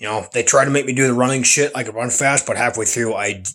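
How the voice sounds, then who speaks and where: Heard in a very clean recording with a silent background, a man at medium pitch talks at a fairly quick pace. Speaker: vlogger. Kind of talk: casual vlog monologue. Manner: soft-spoken, keeping voice down; halting, repeats words.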